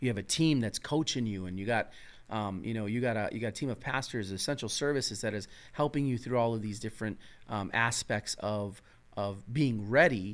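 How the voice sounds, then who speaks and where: A man with an American accent speaks at a fairly quick pace with a medium pitch and ordinary pitch variation. He uses a normal speaking voice in a very clean recording with a silent background. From Chicago South Side. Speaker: podcast host. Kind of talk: casual chat. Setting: studio.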